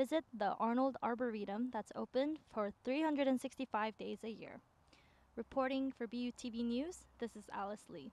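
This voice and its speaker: Speaking at a fairly slow pace, a woman with a high pitch shows ordinary pitch variation and big swings in loudness, the sound dry with no echo. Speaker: student news reporter. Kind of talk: news stand-up sign-off. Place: garden. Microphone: handheld.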